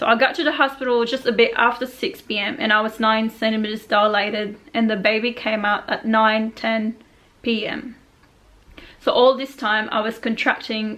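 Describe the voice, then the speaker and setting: A woman mumbles in a fairly high voice with fairly even intonation. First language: not English. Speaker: vlogger. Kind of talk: personal story reading from notes. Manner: mumbling.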